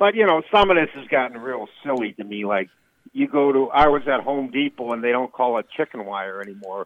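A man with a Midwestern US accent at medium pitch, fairly quick, with lively intonation and big swings in loudness. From rural Illinois. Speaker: comedian. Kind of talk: casual chat.

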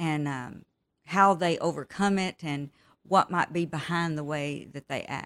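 A woman with a Texan accent, a fairly low pitch, fairly even intonation and a fairly slow pace. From West Texas. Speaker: author. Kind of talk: interview.

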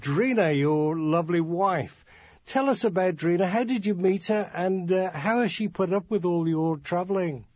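A man speaks with an English accent. His voice is high in pitch. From England, Birmingham. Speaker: radio host and journalist. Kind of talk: interview.

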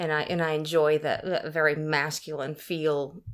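This woman has a very deep, low pitch and an Oklahoma accent. She talks at a fairly slow pace in a monotone, flat intonation. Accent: Oklahoma Southern US. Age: 50s. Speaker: salesperson. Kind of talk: casual interview. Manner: halting.

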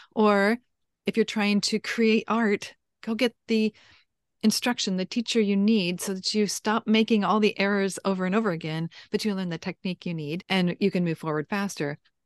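A woman with an unremarkable speaking voice, medium pitch and fairly even intonation at a moderate pace, dry and close with no echo over a quiet background. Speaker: writing coach. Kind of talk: interview intro and conversation.

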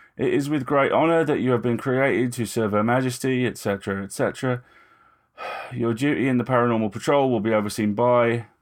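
A put-on character voice, mumbling at a moderate pace. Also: man, medium pitch for a man. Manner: mumbling, perfunctory, officious.

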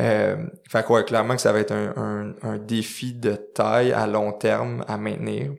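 In a Quebec accent, the speaker goes at a fairly slow pace. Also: man. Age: 20s. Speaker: clothing company co-founder and CEO. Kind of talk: interview conversation. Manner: halting with many repetitions.

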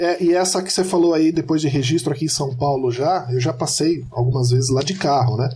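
Over noticeable background noise, a man talks at a fairly quick pace with hardly any pauses. His pitch is fairly high, with ordinary pitch variation. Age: 40s. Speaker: podcast listener and supporter. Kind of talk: casual chat.

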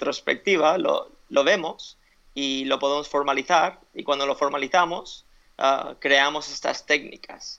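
A man speaks with a bright, sharp tone at a fairly high pitch. His pace is very slow and his intonation fairly even. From Spain (Alicante), after early years in US and Ecuador. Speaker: fitness coach and author. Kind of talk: interview. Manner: halting, with frequent repetitions and fillers.

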